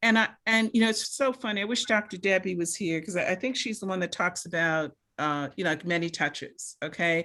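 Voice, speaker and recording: In a very clean recording with a silent background, a woman with a bright, sharp tone speaks at a medium pitch. She goes at a fairly quick pace with hardly any pauses and ordinary pitch variation. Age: 60s. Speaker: medical doctor panelist. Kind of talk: town hall panel discussion. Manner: animated.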